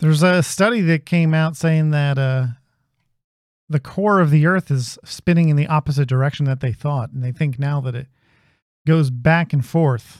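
Recorded dry and close with no echo, a man with an unremarkable speaking voice talks at a moderate pace, his fairly high pitch showing ordinary variation. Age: 40s. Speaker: podcast host. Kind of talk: casual chat. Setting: live stream.

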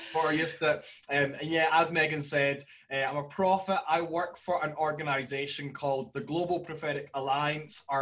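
Fairly even intonation in a strong Scottish accent, amid noticeable background noise. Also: man, fairly high pitch for a man. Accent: broad Scottish. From Glasgow, Scotland. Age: 20s. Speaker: podcast guest. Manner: speaks slowly and clearly.

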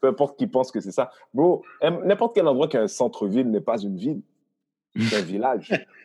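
A man with a medium-pitched voice and a dark, mellow tone talks at a fairly quick pace. His pitch swings very widely. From Haiti. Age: 40s. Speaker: comedian and comedy producer. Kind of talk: casual chat.

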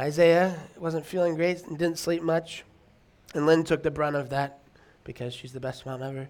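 Mumbling at a moderate pace, a man with a fairly high pitch keeps a fairly even intonation while his loudness swings widely. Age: 30s. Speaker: pastor. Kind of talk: sermon. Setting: church. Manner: halting.

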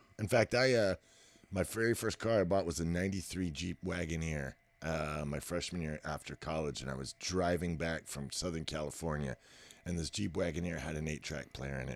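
A man with an American accent speaks at a moderate pace in a very deep, low voice with vocal fry and ordinary pitch variation. The sound is dry and close with no echo, and the recording is very clean with a silent background. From Texas. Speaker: professional drummer. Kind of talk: casual interview about music.

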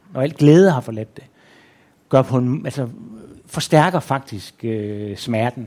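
A man speaks in a dark, mellow tone. His pace is very slow. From Denmark, Aarhus. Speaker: author and journalist. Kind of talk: onstage interview. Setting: stage with audience.

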